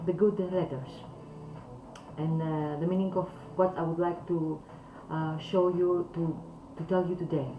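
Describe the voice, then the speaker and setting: A speaker with a non-native accent is heard with audible room echo and music in the background. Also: woman. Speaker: calligraphy teacher. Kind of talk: talk to camera. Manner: halting.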